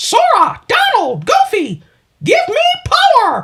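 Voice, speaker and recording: This put-on character voice is squeaky and extremely high in pitch, moving at a fairly slow pace. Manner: excited, shouting.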